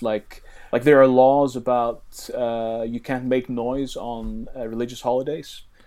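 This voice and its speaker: A man with a Faroese accent speaks at a moderate pace in a medium pitch, his tone dark and mellow and his intonation fairly even. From Faroe Islands. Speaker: interviewee, local resident. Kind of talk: interview.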